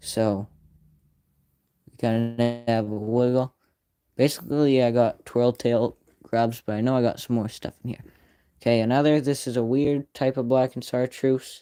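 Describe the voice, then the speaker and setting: This man talks at a medium pitch and a moderate pace, with a flat, monotone delivery and long, frequent pauses. His tone is dark and mellow, and the sound is dry and close, with no echo. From northern Maine. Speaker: fishing YouTuber. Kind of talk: livestream gear showcase. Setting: live stream.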